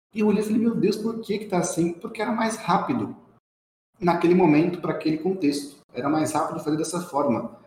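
A man speaks at a very fast pace with a high pitch and ordinary pitch variation. The room has an audible echo. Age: 30s. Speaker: quality and process professional. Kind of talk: casual chat.

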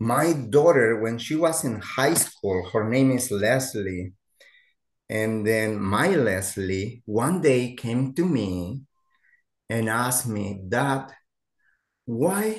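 A man at a very slow pace, medium in pitch, with lively intonation and long, frequent pauses. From Mexico. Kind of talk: interview conversation.

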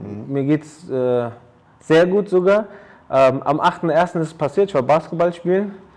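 A man talks at a fairly slow pace in an ordinary speaking voice. His pitch is fairly high, with ordinary variation. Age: 30s. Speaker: athletic trainer and personal coach. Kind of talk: casual interview. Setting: his training studio.

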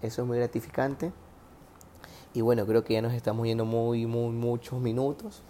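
Dark and mellow in tone, a man's voice sits at a medium pitch. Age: 20s. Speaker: podcast host, physiotherapist. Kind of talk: casual monologue giving relationship advice. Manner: animated.

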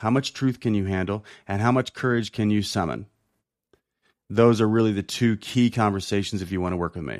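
In a very clean recording with a silent background and a dry, close sound with no echo, a man with an American accent talks at a fairly quick pace in an unremarkable speaking voice, fairly low in pitch with fairly even intonation. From rural Illinois. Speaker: executive coach. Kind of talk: casual interview.

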